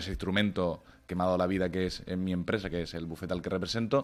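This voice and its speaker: In a very clean recording with a silent background, a man speaks in a very deep, low voice. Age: 30s. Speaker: lawyer. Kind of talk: radio interview.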